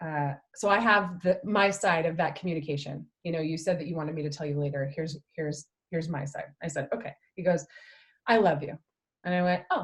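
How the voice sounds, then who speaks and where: Somewhat breathy and fairly low in pitch, a woman speaks at a fairly quick pace. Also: ordinary pitch variation. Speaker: personal development company co-owner. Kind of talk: casual chat. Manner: fast.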